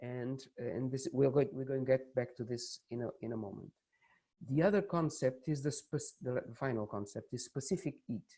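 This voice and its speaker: A man with a Portuguese accent, medium-pitched with ordinary pitch variation, at a moderate pace, somewhat breathy and dark, mellow in tone. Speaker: university lecturer. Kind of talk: lecture. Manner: halting.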